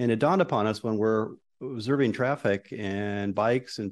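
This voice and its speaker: Against a quiet background, a man talks in a normal speaking voice at medium pitch with ordinary pitch variation. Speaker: transportation consultant. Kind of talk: presentation. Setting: council chambers.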